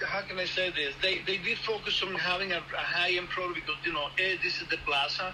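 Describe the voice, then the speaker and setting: A man with a high pitch uses a raised, projected voice. Audible room echo and noticeable background noise fill the recording. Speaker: restaurant industry worker. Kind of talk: interview. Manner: halting, many fillers and repeated words.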